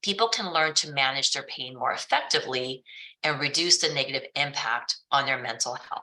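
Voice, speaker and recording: A woman's very deep, low voice with a bright, sharp tone, ordinary pitch variation and a moderate pace. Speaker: webinar host, wellness program director. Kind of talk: webinar presentation; guided stretching. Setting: webinar.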